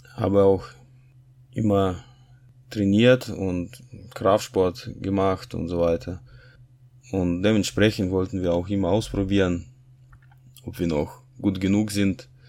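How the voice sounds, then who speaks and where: At a very slow pace with long, frequent pauses, the voice has a dark, mellow tone and fairly even intonation. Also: man, very deep, low pitch for a man. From Kazakhstan. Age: 30s. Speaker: church member giving testimony. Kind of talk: testimony. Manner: halting.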